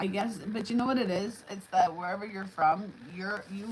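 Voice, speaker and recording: A woman with a New York accent talks at a medium pitch with fairly even intonation. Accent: New York accent, noticeable. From New York City. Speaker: livestream host. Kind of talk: casual live chat. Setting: live stream at home, alone. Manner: relaxed, conversational.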